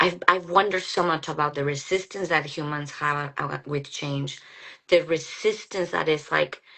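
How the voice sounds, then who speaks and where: Speaking with a Mexican accent, a woman has a very deep, low pitch. Her pace is moderate and her intonation fairly even. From Mexico, Guadalajara. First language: Spanish. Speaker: psychologist. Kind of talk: casual chat. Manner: halting.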